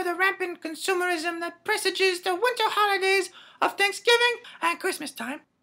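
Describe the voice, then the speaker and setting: A female-sounding, put-on character voice moves at a moderate pace. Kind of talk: comedy sketch promo for an improv show. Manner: haughty, prim.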